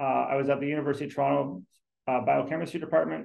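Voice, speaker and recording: Quiet surroundings and a man's voice. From Ontario, Canada. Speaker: scientist; guest. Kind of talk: career talk presentation. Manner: conversational. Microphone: video call.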